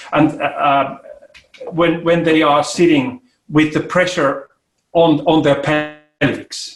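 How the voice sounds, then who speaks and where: Very slow, monotone speech with long, frequent pauses and very even loudness over music in the background. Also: man, fairly high pitch for a man. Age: 60s. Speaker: ergonomics expert and inventor. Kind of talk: interview. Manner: halting.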